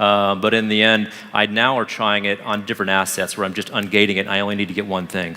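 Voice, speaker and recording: Speaking at a very fast pace, a man with a fairly low pitch talks over noticeable background noise. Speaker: marketing executive. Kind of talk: live product demo talk with Q&A.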